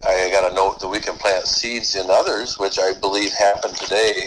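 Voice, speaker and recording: Noticeable background noise behind a man's fairly low-pitched voice. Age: 60s. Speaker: guest, small business owner. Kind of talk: casual conversation.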